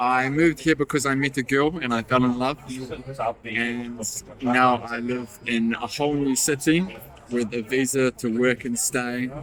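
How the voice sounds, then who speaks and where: With a New Zealand accent, a man speaks at a fairly slow pace and medium pitch with fairly even intonation over noticeable background noise. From New Zealand, small town in the South Island. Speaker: interviewee in a short film. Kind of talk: interview monologue.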